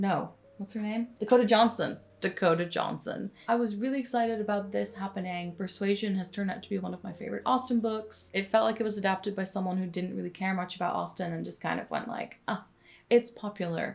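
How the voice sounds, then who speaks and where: Against noticeable background noise, a woman of medium pitch speaks at a very fast pace with fairly even intonation. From Netherlands. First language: Dutch. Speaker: book content creator. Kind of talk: casual talk to camera.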